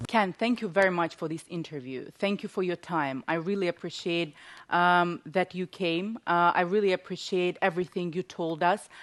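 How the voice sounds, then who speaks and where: A woman with a fairly low pitch and a non-native accent speaks at a moderate pace with fairly even intonation and hardly any pauses, in a dry, close recording with no echo and a quiet background. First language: not English. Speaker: talk show host. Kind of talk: interview.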